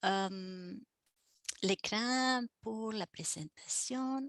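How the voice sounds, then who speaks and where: A woman speaks at a very slow pace in a fairly high voice with an Argentine accent. The sound is dry and close, with no echo. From Argentina. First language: Spanish (speaking French). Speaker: professor and heritage restorer. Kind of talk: webinar lecture. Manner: halting, many fillers.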